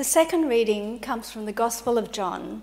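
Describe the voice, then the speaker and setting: With an unremarkable speaking voice, a woman talks at a fairly high pitch with ordinary pitch variation. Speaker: scripture reader. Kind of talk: reading aloud. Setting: church.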